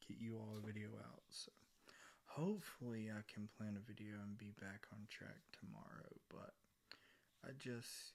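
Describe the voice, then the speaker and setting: Soft-spoken and at a fairly slow pace, a man talks at a medium pitch with fairly even intonation. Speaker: ASMR content creator. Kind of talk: casual rambling talk to camera.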